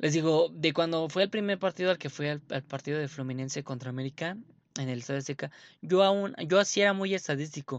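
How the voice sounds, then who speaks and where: The voice has ordinary pitch variation, with a dry, close sound, no echo and a quiet background. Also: man. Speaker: sports podcast host. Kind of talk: casual monologue. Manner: animated.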